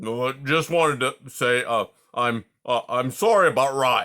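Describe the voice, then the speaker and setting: On a very clean recording with a silent background, a man mumbles in a put-on character voice at a medium pitch and moderate pace, with ordinary pitch variation and very even loudness. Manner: mumbling, hesitant, apologetic.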